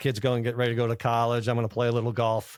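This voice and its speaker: A man talks very fast on a very clean recording against a silent background. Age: 60s. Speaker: bank founder and former lawyer. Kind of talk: interview. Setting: college campus conference.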